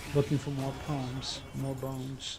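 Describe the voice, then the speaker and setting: Audible room echo colors the sound. Noticeable background noise is present as well. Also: man. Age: 70s. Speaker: poet. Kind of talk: poetry reading; interview talk. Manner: halting, hesitant.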